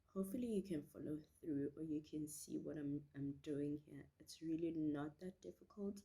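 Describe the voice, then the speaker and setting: Very deep and low in pitch, a woman's voice carries a dark, mellow tone with ordinary pitch variation. She talks at a fairly slow pace. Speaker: beauty vlogger. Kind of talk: tutorial. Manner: casual, chatty.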